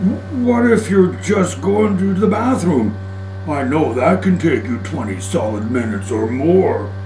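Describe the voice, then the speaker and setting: A put-on character voice over loud music in the background. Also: man, fairly low pitch for a man, moderate pace. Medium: audio drama. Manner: easygoing, joking.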